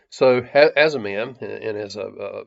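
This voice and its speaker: A man speaks with an American accent. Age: 60s. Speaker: lay Bible teacher. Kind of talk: devotional talk. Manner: hesitant, many fillers.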